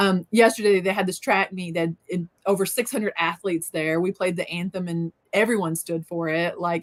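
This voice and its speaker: This woman speaks in a Southern accent at a medium pitch. Her pace is moderate and her intonation fairly even. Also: dry, close sound with no echo. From US South, southeast Missouri Bootheel. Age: 30s. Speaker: reseller. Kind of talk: casual chat.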